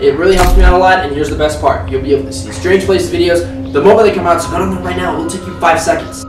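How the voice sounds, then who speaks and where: A man speaks at a very fast pace with hardly any pauses. Clear music plays in the background, and the room echo is audible. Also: big swings in loudness. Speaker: channel host. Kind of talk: scripted video intro. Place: home room.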